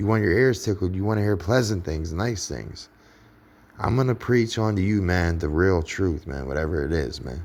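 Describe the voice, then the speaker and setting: Here a man speaks with a very deep, low pitch. His pace is moderate and his pitch variation ordinary. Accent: Pittsburgh. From Pittsburgh, US. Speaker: online preacher. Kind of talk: casual religious monologue. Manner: halting, repetitive.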